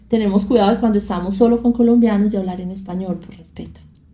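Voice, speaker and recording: At a fairly quick pace, a woman speaks with fairly even intonation. Her voice is somewhat breathy. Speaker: journalist and documentary maker. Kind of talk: interview.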